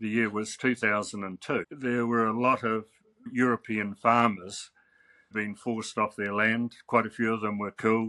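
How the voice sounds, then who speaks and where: In a New Zealand accent, a man of medium pitch talks at a moderate pace with a bright, sharp tone and monotone, flat intonation. The sound is dry and close with no echo, on a very clean recording with a silent background. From New Zealand, Wellington. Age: 80s+. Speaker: artist and author. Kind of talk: interview.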